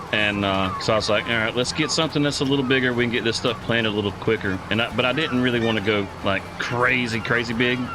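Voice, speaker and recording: Speaking very fast with hardly any pauses, a man with a Southern US accent keeps a very even loudness and fairly even intonation, with audible room echo and noticeable background noise. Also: medium pitch for a man. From US South (southeast Georgia). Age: 40s. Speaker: gaming live streamer. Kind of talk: casual live-stream chat. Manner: relaxed, halting with fillers.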